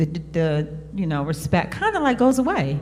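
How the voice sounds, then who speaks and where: A woman with an American accent, fairly low pitch and a moderate pace, over music in the background. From Cherry Hill, New Jersey. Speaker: panelist. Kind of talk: panel discussion.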